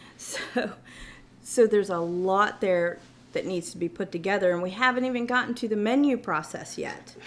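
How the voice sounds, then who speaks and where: Ordinary pitch variation shapes speech at a moderate pace. Noticeable background noise can be heard. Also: woman, medium pitch for a woman. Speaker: car dealership finance manager. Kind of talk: casual chat. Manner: halting.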